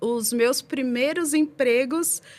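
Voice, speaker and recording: In a very clean recording with a silent background, a woman speaks in a high pitch with lively intonation. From São Paulo, Brazil (East Zone). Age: 40s. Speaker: podcast guest, former student. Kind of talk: interview, casual chat. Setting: podcast.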